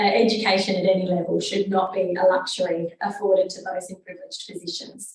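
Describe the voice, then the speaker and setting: This woman talks at a fairly quick pace. Her pitch is medium. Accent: Australian. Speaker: research fellow presenter. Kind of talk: presentation. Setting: conference room with audience and online.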